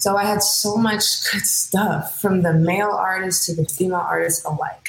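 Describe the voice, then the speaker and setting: Spoken at a fairly slow pace with a Californian accent, the voice keeps a fairly even intonation. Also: woman. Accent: Californian American English. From San Francisco Bay Area, Hayward. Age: 30s. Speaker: singer. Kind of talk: casual interview.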